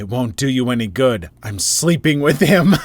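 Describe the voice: A man at medium pitch in a put-on character voice. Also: moderate pace.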